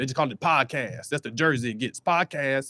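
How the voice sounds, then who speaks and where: With a dry, close sound and no echo, a man talks at a very fast pace with ordinary pitch variation. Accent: American. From North Carolina. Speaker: comedian. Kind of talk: stand-up. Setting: outdoors on a balcony.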